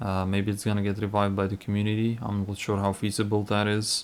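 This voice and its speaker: Here is a man with a non-native accent. His pitch sits fairly low. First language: not English (non-native speaker). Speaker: gaming YouTuber. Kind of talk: casual gameplay commentary. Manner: hesitant, with fillers.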